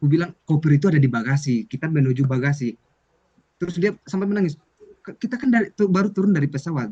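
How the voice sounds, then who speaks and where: Talking at a very fast pace, a man uses lively intonation. His voice is fairly high in pitch, with a dark, mellow tone. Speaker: student mentor. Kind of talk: casual chat.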